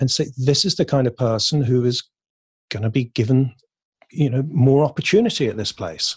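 A man with an English accent speaks at a moderate pace, his pitch medium with ordinary variation and a somewhat breathy edge. The sound is dry and close with no echo, over a quiet background. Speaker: poet and creative coach. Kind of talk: casual interview chat.

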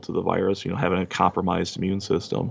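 A man with an Upper Midwest accent speaks at a fairly low pitch. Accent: Upper Midwest American. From Wisconsin, Kenosha. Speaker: machinist and pizza delivery driver. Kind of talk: casual interview.

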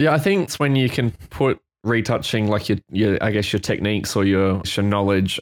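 A man talks at a moderate pace with a fairly low pitch. The recording is very clean with a silent background, and the sound is dry and close with no echo. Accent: Australian. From Queensland, Australia. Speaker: photographer and retoucher. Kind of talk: casual chat.

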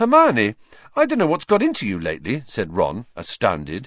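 The speaker reads in an unforced voice.

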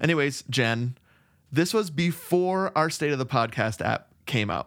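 At a fairly slow pace, a man with an unremarkable speaking voice talks in a fairly high pitch with lively intonation. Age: 40s. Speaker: podcast co-host. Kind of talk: casual chat. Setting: remote recording.

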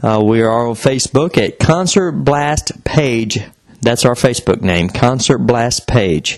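A man speaks at a medium pitch and a fairly slow pace. Noticeable background noise runs behind him. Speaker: podcast co-host. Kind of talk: podcast intro and outro.

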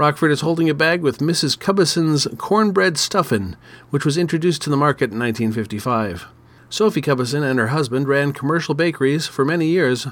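The man has an unremarkable speaking voice at a fairly high pitch. He talks at a fairly quick pace with lively intonation. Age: 50s. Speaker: podcast host. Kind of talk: solo podcast commentary.

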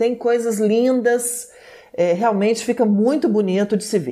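Using a plain, everyday voice, a woman talks at a moderate pace with a fairly high pitch. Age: 40s. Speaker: TV presenter. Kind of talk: casual chat.

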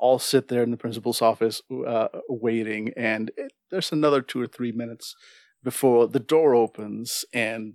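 Quiet background behind a natural reading voice, its pitch varying in an ordinary way

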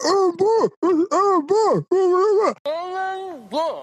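In a put-on character voice, the speaker uses an extremely high pitch at a very slow pace. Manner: garbled, muffled.

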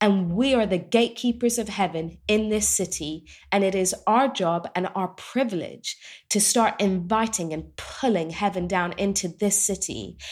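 An English accent at a moderate pace, in a very clean recording with a silent background. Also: woman, medium pitch for a woman, ordinary pitch variation. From England. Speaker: doctor and Bible teacher. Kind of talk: interview.

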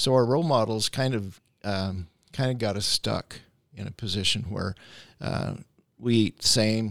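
A man's fairly low voice with an American accent, dry and close with no echo. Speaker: chiropractic and naturopathic doctor hosting a health podcast. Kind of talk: interview-style podcast chat. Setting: studio. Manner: hesitant, many filler words.

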